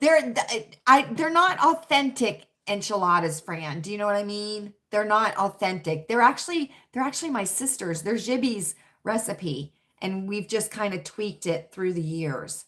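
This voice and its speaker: With an American accent, a woman talks at a moderate pace and medium pitch, her bright, sharp tone moving through very wide pitch swings on a very clean recording with a silent background. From US South, Richmond, Virginia. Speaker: livestream chat host. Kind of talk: casual livestream chat reading comments. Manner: chatty, repetitive.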